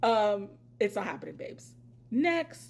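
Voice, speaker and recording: The voice has an animated tone and an American accent. It shows vocal fry and very wide pitch swings. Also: woman. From Pennsylvania. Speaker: reality TV commentator, YouTuber. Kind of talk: casual vlog commentary. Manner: loud.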